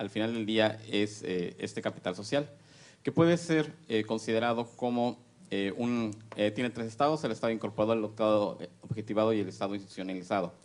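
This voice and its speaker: Against a quiet background, a man speaks at a medium pitch with ordinary pitch variation and a fairly quick pace. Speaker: academic researcher. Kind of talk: conference presentation. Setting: panel with audience. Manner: fast; halting, many fillers.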